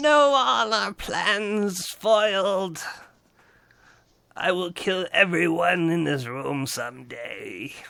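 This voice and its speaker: At a very slow pace, a man uses a put-on character voice pitched high. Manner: vengeful, menacing.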